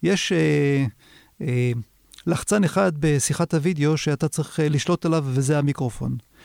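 A man with a normal speaking voice, fairly high in pitch and very even in loudness, in a very clean recording with a silent background and dry, close sound with no echo. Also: ordinary pitch variation, moderate pace. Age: 50s. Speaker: video marketing consultant. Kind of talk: interview. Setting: studio.

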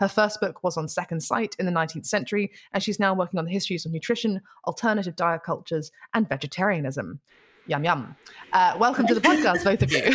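In a dry, close recording with no echo, a woman with a medium pitch talks at a very fast pace, somewhat breathy and with lively intonation. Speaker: podcast host. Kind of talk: casual chat; scripted intro.

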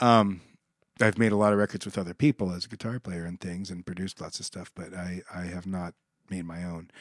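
A man with an American accent speaks with a very deep, low pitch, fairly even intonation and big swings in loudness. The sound is dry and close with no echo, over a quiet background. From Nebraska, Omaha. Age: 50s. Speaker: session guitarist. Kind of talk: casual interview chat. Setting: studio.

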